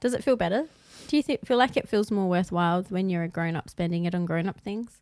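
Speaking at a very fast pace with lively intonation, a woman with an Australian accent has a medium pitch, in a very clean recording with a silent background and a dry, close sound with no echo. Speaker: podcast co-host. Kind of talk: casual chat. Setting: live-streamed video recorded at home.

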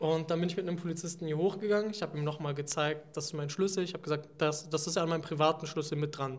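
Speaking at a very fast pace with hardly any pauses, a man keeps a fairly even intonation at a fairly high pitch. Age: 20s. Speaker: student representative. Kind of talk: interview.

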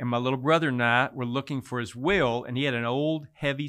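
Delivered at a very fast pace, the speech carries a Texan accent and ordinary pitch variation. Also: man. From Texas Hill Country. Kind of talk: interview testimony.

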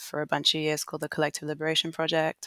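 The voice has an English accent, captured in a very clean recording with a silent background. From England. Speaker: artist and embodiment educator. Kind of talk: interview conversation.

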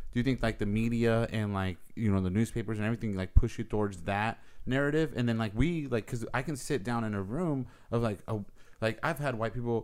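Fairly quick speech from a man at a medium pitch, with ordinary pitch variation, on a very clean recording with a silent background. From Southern California, born in Mexico. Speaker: podcast host and DJ. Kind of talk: casual chat. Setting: studio.

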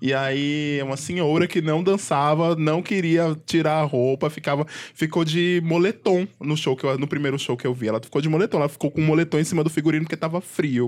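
A man with an unremarkable speaking voice talks at a fairly quick pace in a fairly high pitch for a man, with hardly any pauses and a quiet background. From Pernambuco, Brazil. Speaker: podcast host. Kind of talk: casual chat.

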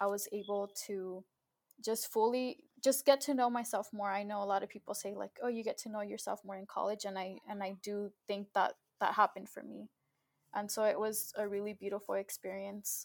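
A woman with a Californian accent talks at a fairly quick pace and medium pitch, her intonation fairly even but her loudness swinging widely, on a dry, close recording with no echo. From Southern California. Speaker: first-generation graduate, young professional. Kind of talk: interview, casual chat.

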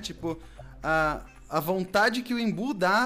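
Very wide pitch swings mark this man's speech. Behind him, there is music. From Brazil, São Paulo state (Cotia). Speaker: podcast host. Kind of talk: casual chat.

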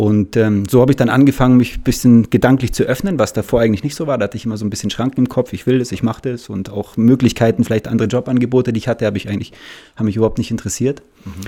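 Here a man speaks at a very fast pace. His tone is dark and mellow, and his intonation fairly even. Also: medium pitch for a man. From Munich, Bavaria. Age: 30s. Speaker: salesperson. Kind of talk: casual interview.

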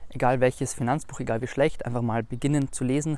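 A man with a plain, everyday voice at medium pitch, fairly even intonation, in a very clean recording over a silent background. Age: 20s. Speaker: finance YouTuber. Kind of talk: interview answers. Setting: filmed video with camera operator.

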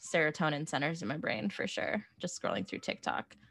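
Vocal fry runs through a woman's fairly low-pitched voice as she talks at a fairly quick pace. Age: 30s. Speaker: pop culture writer. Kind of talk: casual chat.

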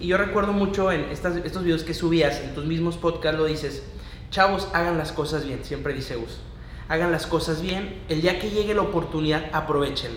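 A man talks at a moderate pace with a fairly high pitch and fairly even intonation. Noticeable background noise and audible room echo fill the recording. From León, Guanajuato, Mexico. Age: 20s. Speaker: student and manufacturer. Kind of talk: casual interview.

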